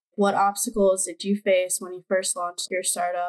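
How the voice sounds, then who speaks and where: A normal speaking voice at a fairly quick pace, with dry, close sound and no echo. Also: woman. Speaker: university student. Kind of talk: interview.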